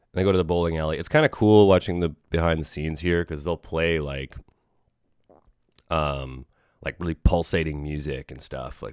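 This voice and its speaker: This man's voice is very deep and low. His intonation stays fairly even. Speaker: podcast host. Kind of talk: casual chat. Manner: rambling, filler-heavy.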